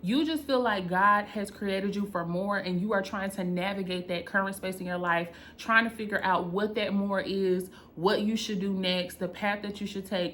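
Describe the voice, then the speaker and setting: An animated tone and a North Carolina accent come through at a moderate pace over noticeable background noise. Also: woman, medium pitch for a woman. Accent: Southern US (North Carolina), country. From North Carolina, US South. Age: 30s. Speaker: content creator and business coach. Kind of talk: personal vlog storytelling.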